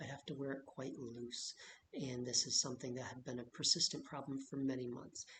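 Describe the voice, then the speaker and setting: A soft-spoken, somewhat breathy man with a fairly high pitch, fairly quick pace and fairly even intonation. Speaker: vlogger sharing health experience. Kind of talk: personal vlog monologue. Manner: quiet, soft-spoken.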